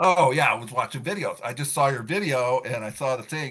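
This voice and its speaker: Against a quiet background, a man speaks fairly quickly at a fairly high pitch with ordinary pitch variation. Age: 60s. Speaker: rideshare and delivery driver. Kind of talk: casual interview. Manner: halting, repeats words.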